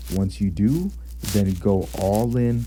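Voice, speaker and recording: Audible room echo surrounds a man whose very deep, low pitch moves in very wide swings. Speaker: gaming YouTuber. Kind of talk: game commentary and breakdown. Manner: restrained volume. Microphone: blanket over head to reduce echo.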